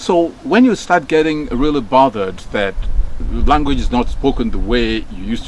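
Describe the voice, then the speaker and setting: With a Nigerian accent, a man speaks at a moderate pace with very wide pitch swings over noticeable background noise. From Nigeria, Delta State. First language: Nigerian Pidgin. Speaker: former radio broadcaster. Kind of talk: casual talk. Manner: hesitant, many fillers and repeats.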